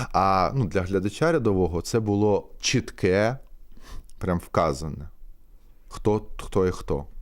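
In a very clean recording with a silent background, a man with a fairly low pitch speaks at a very slow pace, leaving long, frequent pauses. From eastern Ukraine, Mariupol. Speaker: theatre actor. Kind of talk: casual interview. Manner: hesitant, many fillers.

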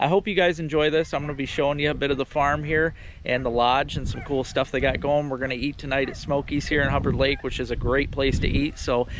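A man talks at a very fast pace with fairly even intonation and hardly any pauses. The sound is dry with no echo, though background noise is noticeable. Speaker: outdoor vlogger. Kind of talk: casual vlog chat. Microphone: phone near.

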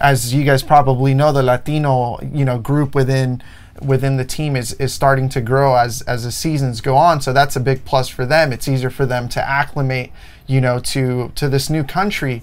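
The man's intonation is monotone and flat, and his pace is moderate. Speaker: podcast co-host. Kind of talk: sports discussion commentary. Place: studio. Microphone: lapel.

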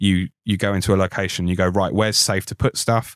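In a very clean recording with a silent background and a dry, close sound with no echo, a man with a very deep, low voice talks at a very fast pace in a monotone, flat intonation. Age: 30s. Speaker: film standby props worker. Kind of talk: interview.

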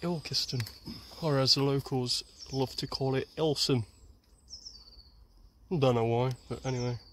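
Light background noise sits under a man's dry, echo-free voice as he talks at a fairly slow pace. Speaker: explorer vlogger. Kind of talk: casual vlog chat. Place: forest. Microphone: phone near.

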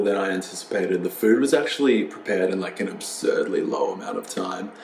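A man talks at a very fast pace with hardly any pauses. Audible room echo and light background noise are present. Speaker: food vlogger. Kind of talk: casual vlog chat. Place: home room. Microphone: lapel.

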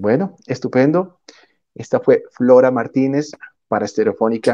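With a dark, mellow tone, a man speaks at a fairly slow pace. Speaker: interviewer. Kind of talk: interview. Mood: warm, upbeat. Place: home room. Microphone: earbuds.

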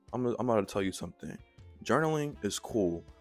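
A man with an American accent, dry sound with no echo, and faint music in the background. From Mableton, Georgia, USA. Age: 20s. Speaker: vlogger. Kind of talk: casual talk to camera. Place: home room. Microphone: handheld.

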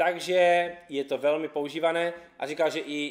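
A man speaks. The background is quiet. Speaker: YouTube car channel host. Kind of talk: casual vlog presentation. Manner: casual, upbeat. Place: garage.

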